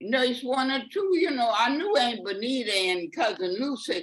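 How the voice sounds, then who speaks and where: A woman with a Louisiana accent speaks with very wide pitch swings. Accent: Louisiana Southern US. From US South, Louisiana. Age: 80s+. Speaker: great-grandmother sharing memories. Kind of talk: interview. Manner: halting.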